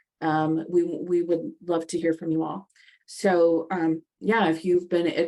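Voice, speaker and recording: This woman has an American accent, a fairly low pitch, and a dark, mellow tone. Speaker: podcast host, nonprofit executive director. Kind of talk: casual conversation.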